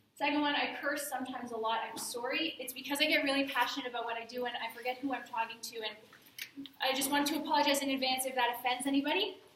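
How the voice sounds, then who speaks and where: In a Canadian accent, a bright, sharp voice talks at a very fast pace with ordinary pitch variation amid audible room echo. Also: woman. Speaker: fitness magazine editor and former personal trainer. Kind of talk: guest talk to a class. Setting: classroom with audience.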